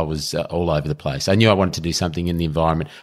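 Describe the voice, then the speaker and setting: A man with an Australian accent speaks in a very deep, low pitch and fairly even intonation. The recording is very clean with a silent background. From Melbourne, Australia. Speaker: public sector chief executive. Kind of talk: interview. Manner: halting.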